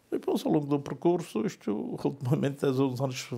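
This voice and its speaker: A man talks with lively intonation. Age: old. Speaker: business owner. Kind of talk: interview testimony. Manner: halting, repetitive.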